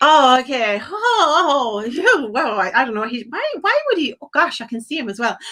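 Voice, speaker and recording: In a raised, projected voice, a woman speaks at a high pitch with very wide pitch swings and an animated tone, keeping a moderate pace with hardly any pauses. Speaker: psychic medium. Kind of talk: live psychic reading on a call-in stream.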